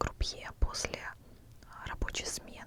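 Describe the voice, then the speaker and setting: A woman whispers in a calm tone. Noticeable background noise is present. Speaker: ASMR creator, former casino dealer. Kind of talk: whispered ASMR storytelling. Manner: whispered, calm, quiet.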